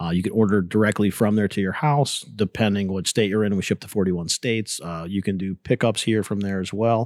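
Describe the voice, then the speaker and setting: In a very clean recording with a silent background and a dry, close sound free of echo, a man with an unremarkable speaking voice talks at a fairly quick pace, his pitch fairly low and his intonation fairly even. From Pittsburgh, Pennsylvania. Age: 40s. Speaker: mead maker and business owner. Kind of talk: casual chat. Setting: taproom recording with echo.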